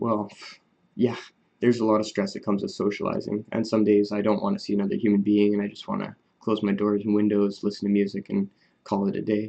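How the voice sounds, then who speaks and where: Soft-spoken and fairly low-pitched, a man talks very fast with monotone, flat intonation. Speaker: vlogger talking about his Asperger's. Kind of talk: casual monologue to camera. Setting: at home recording on an iPad. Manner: quiet, soft-spoken; hesitant, many fillers.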